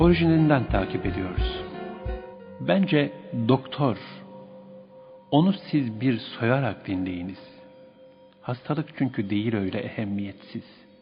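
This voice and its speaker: With music in the background, a man speaks at medium pitch at a very slow pace, with very wide pitch swings and long, frequent pauses. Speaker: radio presenter. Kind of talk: poetry reading. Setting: radio studio.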